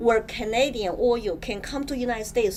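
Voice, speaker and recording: A woman's fairly high voice with a Chinese accent, at a moderate pace and with ordinary pitch variation. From China. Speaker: political candidate. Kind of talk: interview. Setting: studio.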